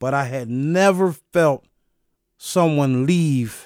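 A man with a plain, everyday voice and medium pitch speaks with ordinary pitch variation on a very clean recording with a silent background, the sound dry and close with no echo. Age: 40s. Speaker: nonprofit founder sharing life story. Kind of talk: personal testimony.

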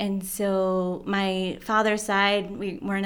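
A woman is speaking. She has a Midwestern US accent. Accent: US Midwest. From southeast Michigan. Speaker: storyteller sharing faith journey. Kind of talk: testimony.

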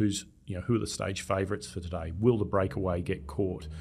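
This man has an Australian accent. His pitch sits fairly low. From Australia, Melbourne. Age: 40s. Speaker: data analytics expert. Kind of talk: casual interview. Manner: halting, many repeated words.

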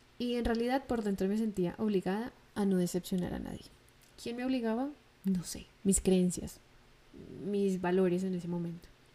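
Taking long, frequent pauses, a woman speaks at a moderate pace and medium pitch with ordinary pitch variation. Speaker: podcast host. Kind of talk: solo monologue.

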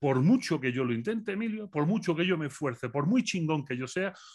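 A man with a normal speaking voice, fairly high-pitched, at a fairly quick pace. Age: 40s. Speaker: philosopher. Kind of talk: interview.

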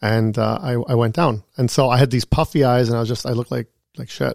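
A man with a Canadian accent has a plain, everyday voice at medium pitch with ordinary pitch variation, heard in a dry, close sound with no echo on a very clean recording with a silent background. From Canada, Thunder Bay, Ontario. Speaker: real estate agent. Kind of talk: casual interview. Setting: studio.

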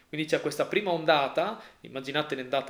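A man with a fairly high pitch talks at a fairly quick pace, keeping his intonation fairly even. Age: 30s. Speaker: podcast co-host. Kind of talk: casual chat. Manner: halting, repeats words.

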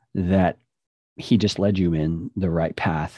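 With an American accent, a man speaks at a very deep, low pitch. His tone is dark and mellow, and his intonation is fairly even. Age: 50s. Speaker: podcast production business owner and former pastor. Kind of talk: casual interview.

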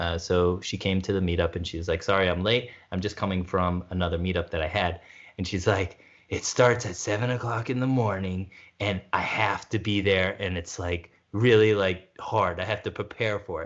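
With fairly even intonation, a man speaks in a very deep, low pitch. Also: moderate pace. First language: not French. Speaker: podcast co-host. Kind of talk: casual chat. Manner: hesitant, many fillers.

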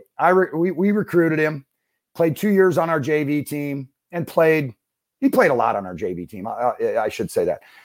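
Lively in intonation, a man with an unremarkable speaking voice talks at a moderate pace and fairly high pitch on a very clean recording with a silent background. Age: 40s. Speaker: former college basketball coach, IT consulting business owner. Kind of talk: podcast interview.

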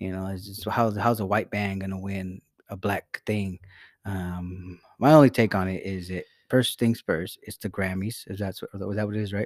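A man with a plain, everyday voice at a moderate pace, big swings in loudness, in a very clean recording with a silent background and a dry, close sound with no echo. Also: fairly low pitch for a man, fairly even intonation. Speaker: podcast host. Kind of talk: casual comedic banter with profanity.

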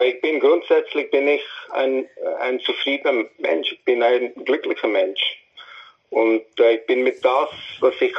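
A man speaks at a fairly slow pace. Long pauses come often. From India (New Delhi). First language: English (also Hindi) (speaking German). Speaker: musician. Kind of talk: interview. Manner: halting.

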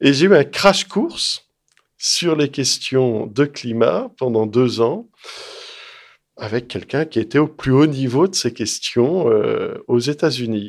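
The speech moves at a very slow pace with lively intonation. The recording is very clean, with a silent background. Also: man, medium pitch for a man. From France, Lyon. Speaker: strategic studies researcher and author. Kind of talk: interview.

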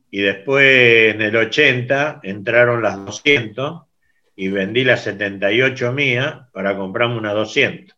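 The voice belongs to a man, pitched in the medium range. He talks at a very slow pace. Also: ordinary pitch variation. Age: 70s. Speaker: scooter club founder. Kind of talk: interview.

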